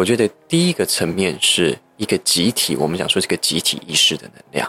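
A man speaks at a fairly quick pace. The sound is dry and close, with no echo. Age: young. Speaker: psychotherapist. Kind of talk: interview. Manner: articulate and well-organized.

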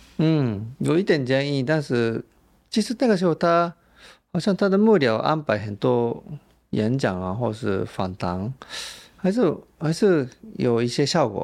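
Recorded very cleanly against a silent background, a man with a fairly high pitch speaks at a fairly slow pace, with long, frequent pauses and very wide pitch swings. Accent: slight Japanese. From Japan. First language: Japanese (speaking Chinese). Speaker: journalist. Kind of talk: interview.

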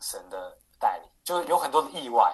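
A man speaking at a moderate pace. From Taiwan, Taipei. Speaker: financial broker. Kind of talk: interview. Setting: video call.

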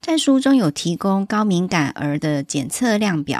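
Recorded very cleanly against a silent background, with a dry, close sound with no echo, a woman of medium pitch makes very wide pitch swings. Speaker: parenting podcast host. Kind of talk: book review monologue.

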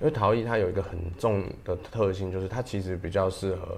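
Speech with fairly even intonation carries audible echo from the room. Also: man. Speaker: ceramic artist and pottery teacher. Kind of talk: casual interview.

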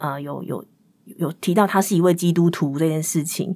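In a very clean recording with a silent background, a woman with a plain, everyday voice speaks at a fairly low pitch and moderate pace, her pitch varying in an ordinary way. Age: 30s. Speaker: podcast guest. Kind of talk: personal storytelling.

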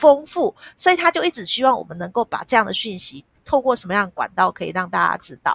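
Heard dry and close with no echo, a woman uses a raised, projected voice, her bright, sharp tone swinging very widely in pitch. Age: 50s. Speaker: nonprofit foundation executive director. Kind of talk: interview.

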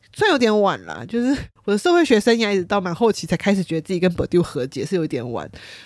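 Speaking very fast with a slight Taiwanese accent, a medium-pitched woman swings her pitch very widely, with vocal fry, on a very clean recording with a silent background. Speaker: podcast host, sociology student. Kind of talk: casual monologue.

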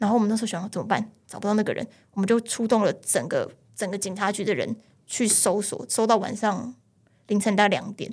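A woman's somewhat breathy, fairly high voice at a fairly quick pace with fairly even intonation. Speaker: police officer. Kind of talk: casual chat.

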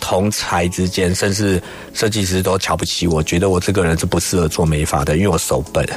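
A man's very deep, low voice with fairly even intonation and very even loudness, amid noticeable background noise. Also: fairly quick pace. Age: 40s. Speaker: hairstylist. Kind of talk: interview.

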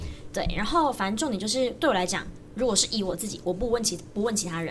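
A woman in a Taiwanese accent talks at a very fast pace and medium pitch with lively intonation, amid audible room echo and music in the background. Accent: Taiwanese Mandarin. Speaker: university student and jump rope coach. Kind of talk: casual chat.

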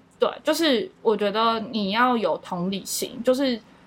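Using a normal speaking voice, a woman talks at a fairly high pitch with lively intonation. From Matsu, Taiwan. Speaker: YouTuber and content creator. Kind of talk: casual interview.

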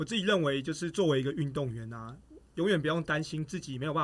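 Talking at a very fast pace, a man with a fairly high pitch uses lively intonation and sounds somewhat breathy. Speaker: track athlete and running coach. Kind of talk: casual chat.

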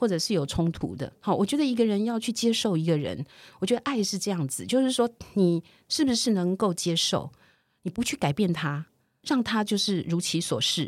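A woman talks at a fairly quick pace with a medium pitch. Her voice moves in very wide pitch swings. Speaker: civic and environmental activist. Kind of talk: casual interview. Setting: remote call.

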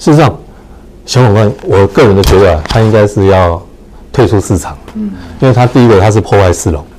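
A man with a fairly low voice and ordinary pitch variation speaks at a fairly quick pace, leaving long, frequent pauses, over noticeable background noise. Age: 60s. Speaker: real estate association chairman. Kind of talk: casual chat. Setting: livestream.

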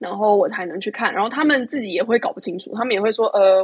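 Very fast talk from a woman at a medium pitch. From Taiwan. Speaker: overseas contributor. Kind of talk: casual chat. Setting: remote call.

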